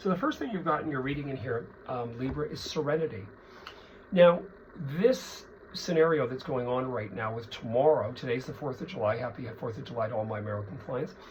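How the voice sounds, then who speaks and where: This man talks at a fairly quick pace with lively intonation and a medium pitch. Noticeable background noise and audible room echo are present. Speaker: psychic tarot reader. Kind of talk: tarot reading monologue.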